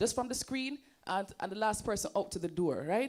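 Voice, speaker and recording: Her intonation rises and falls in a lively way. The woman talks at a fairly quick pace. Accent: Jamaican. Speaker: presenter and entrepreneur. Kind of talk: seminar presentation. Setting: stage with audience. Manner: animated.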